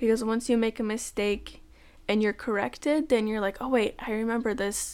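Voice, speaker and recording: Against a silent background in a very clean recording, this is an ordinary speaking voice with fairly even intonation. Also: woman. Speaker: podcast host, language learner. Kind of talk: casual tutorial monologue.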